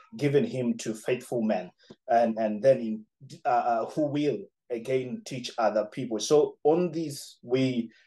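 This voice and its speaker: A man's tone is dark and mellow, with ordinary pitch variation. All around him the background is quiet. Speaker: pastor trainer reporting. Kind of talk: interview answer. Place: home room. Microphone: video call.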